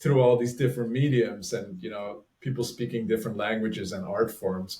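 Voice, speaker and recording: Somewhat breathy, a man speaks with a strong Flemish accent. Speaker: author and relating facilitator. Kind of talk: casual interview conversation.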